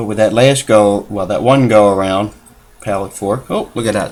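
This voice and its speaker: A fairly low male voice at a moderate pace, with noticeable background noise. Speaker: watch repair hobbyist. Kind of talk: tutorial. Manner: voice trails off when concentrating. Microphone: built-in computer mic, level varies with head position.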